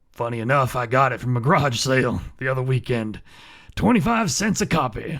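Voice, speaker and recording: A raspy, put-on character voice moves at a fairly quick pace. The recording is very clean, with a silent background. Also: man, medium pitch for a man. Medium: audio drama. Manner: dry, deadpan.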